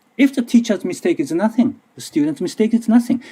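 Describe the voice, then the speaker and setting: Speaking with a Japanese accent, a man uses an extremely high pitch, very wide pitch swings, and a dark, mellow tone. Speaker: language teacher and researcher. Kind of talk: conference presentation. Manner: halting.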